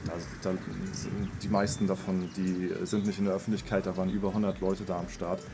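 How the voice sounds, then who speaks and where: Noticeable background noise surrounds a man with a very deep, low pitch. He keeps a moderate pace. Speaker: gaming YouTuber vlogging. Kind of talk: casual vlog talk. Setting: on return trip. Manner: casual, filler-heavy.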